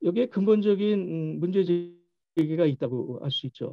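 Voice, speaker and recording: Speech comes at a very slow pace. The background is quiet. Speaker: keynote presenter at policy forum; keynote presenter. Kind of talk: presentation. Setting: video call. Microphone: video call.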